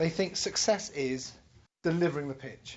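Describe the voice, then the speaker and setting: The speaker has a London accent. The pace is fairly quick. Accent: European (London). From London, England. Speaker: entrepreneur and business educator, angel investor. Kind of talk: workshop lecture.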